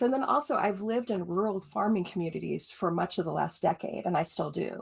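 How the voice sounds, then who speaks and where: At a very fast pace with hardly any pauses, a woman speaks with a medium pitch and vocal fry. Her pitch swings very widely. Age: 50s. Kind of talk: podcast interview.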